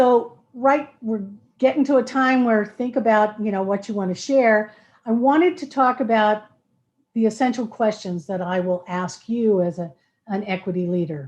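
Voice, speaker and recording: A woman talks in a normal speaking voice. Her intonation is lively and her pace moderate. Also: fairly high pitch for a woman. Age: 60s. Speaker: equity trainer presenting to a school board. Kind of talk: presentation to a school board work session.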